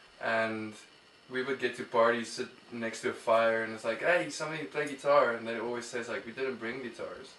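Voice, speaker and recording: A man with an Afrikaans South African accent speaks at a medium pitch and a fairly quick pace, with fairly even intonation. Noticeable background noise is present. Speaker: musician. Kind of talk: casual interview. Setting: studio. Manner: hesitant, many fillers.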